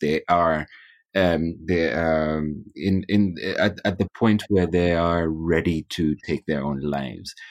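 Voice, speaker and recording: On a very clean recording with a silent background, a man's very deep, low voice sounds dry and close with no echo. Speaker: podcast host. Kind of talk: podcast intro and interview.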